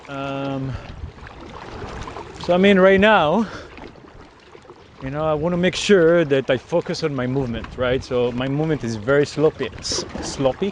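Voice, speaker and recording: A man speaks at a moderate pace with long, frequent pauses and a fairly high pitch. His pitch variation is ordinary, and noticeable background noise can be heard. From Israel. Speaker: software engineer and kayaker vlogger. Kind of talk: casual outdoor vlog narration. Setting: outdoors, kayaking on the ocean. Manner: hesitant, many fillers.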